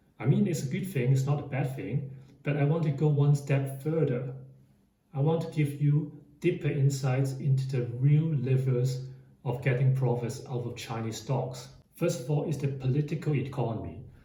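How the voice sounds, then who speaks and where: Room echo is audible as a man speaks at a moderate pace with fairly even intonation. His pitch is fairly high, and background noise is noticeable. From Hong Kong. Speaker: finance YouTuber. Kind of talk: explainer monologue.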